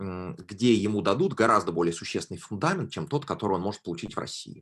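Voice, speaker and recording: Fairly low in pitch, a man speaks with ordinary pitch variation. The background is quiet. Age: 20s. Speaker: graduate student speaking to school pupils. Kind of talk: online talk. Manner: hesitant, with fillers.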